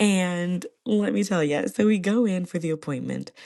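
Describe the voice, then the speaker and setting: A woman talks at a moderate pace in a fairly low pitch. Her tone is dark and mellow, with ordinary pitch variation. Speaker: podcast host. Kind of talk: casual chat. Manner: animated.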